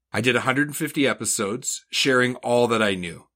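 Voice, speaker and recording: Bright and sharp in tone, a medium-pitched man with a Canadian accent speaks with lively intonation on a very clean recording with a silent background. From Eastern Canada, New Brunswick. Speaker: podcast host, parts industry manager. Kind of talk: scripted narration.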